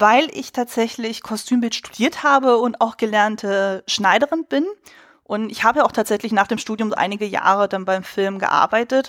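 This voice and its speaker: A woman's fairly high-pitched, unremarkable speaking voice with ordinary pitch variation, on a very clean recording with a silent background and a dry, close sound with no echo. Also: moderate pace. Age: 30s. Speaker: costume designer and film podcaster. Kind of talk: casual chat.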